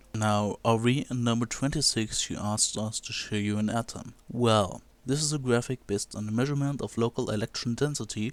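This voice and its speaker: Speaking at a fairly quick pace, a man with a non-native accent has a medium pitch and fairly even intonation. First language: not English. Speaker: video blogger. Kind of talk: video commentary.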